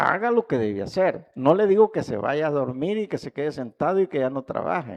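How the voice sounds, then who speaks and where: A man with a Salvadoran accent, fairly high in pitch, at a fairly quick pace with hardly any pauses and very wide pitch swings. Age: 70s. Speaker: pastor. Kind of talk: sermon.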